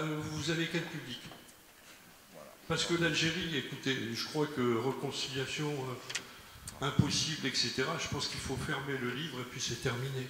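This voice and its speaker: Fairly high for a man, his voice moves at a fairly slow pace with fairly even intonation, with audible room echo and noticeable background noise. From Algeria. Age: 70s. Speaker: audience member. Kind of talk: audience question.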